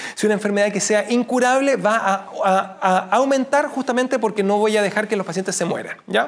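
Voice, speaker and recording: Over noticeable background noise, a man with a high-pitched voice talks at a fairly quick pace with fairly even intonation. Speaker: teacher. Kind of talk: lecture. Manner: halting.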